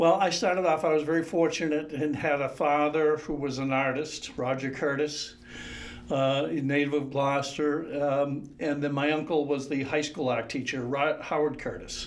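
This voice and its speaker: Noticeable background noise accompanies a man speaking with fairly even intonation. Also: moderate pace. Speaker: painter and art teacher. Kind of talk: interview conversation.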